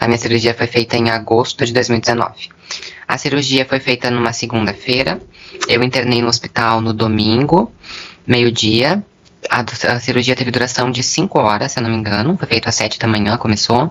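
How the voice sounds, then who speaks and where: With noticeable background noise behind her, a woman speaks at a fairly quick pace in a very deep, low pitch. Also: ordinary pitch variation. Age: 20s. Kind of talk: interview testimony.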